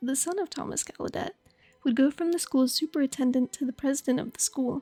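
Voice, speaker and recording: A woman speaks at a very fast pace in a soft-spoken, high voice with a dark, mellow tone, ordinary pitch variation, and a dry, close sound with no echo. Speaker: voice actor. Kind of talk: educational history narration. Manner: casual.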